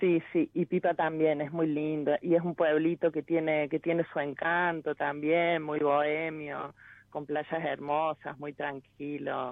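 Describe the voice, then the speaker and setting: Very slow and monotone with flat intonation, a woman speaks in a very deep, low voice. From Córdoba, Argentina. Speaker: caller. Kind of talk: phone-in consultation. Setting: phone call.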